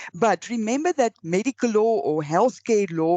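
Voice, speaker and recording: With an Afrikaans accent and lively intonation, a woman speaks in a dry, close sound with no echo against a quiet background. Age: old. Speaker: law lecturer. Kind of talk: lecture. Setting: recorded online lecture with slides. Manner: halting.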